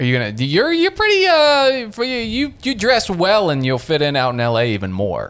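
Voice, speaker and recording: Talking at a moderate pace with hardly any pauses, a man speaks with an American accent. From Ohio, Muskingum County. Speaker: comedian. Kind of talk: casual chat. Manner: odd syllable stress.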